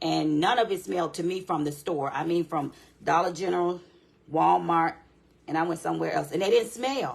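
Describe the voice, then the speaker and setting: Speaking with vocal fry, a woman uses a fairly low pitch and lively intonation. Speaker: candle and craft small business owner. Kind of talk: live-stream tutorial. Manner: fast; casual, chatty.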